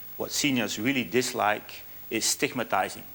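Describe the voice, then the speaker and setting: A man with a Dutch accent talks at a fairly slow pace. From Netherlands. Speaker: business speaker, app founder. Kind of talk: conference presentation. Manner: halting, with fillers and restarts.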